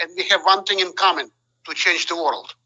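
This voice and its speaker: The speaker is a man. He has a non-native accent. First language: not English. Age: 60s. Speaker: top sales rep. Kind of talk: speech on a group call. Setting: conference call. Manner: animated.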